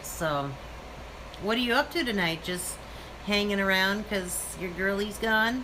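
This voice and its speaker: Talking with an American accent, a woman uses a medium pitch and lively intonation. Her pace is fairly slow with long, frequent pauses, and the room echo is audible. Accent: Minnesotan, noticeable to others. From Minnesota, Minneapolis area. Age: 30s. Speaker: live-stream vlogger. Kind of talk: casual live-stream chat. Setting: live stream with son, selfie stick.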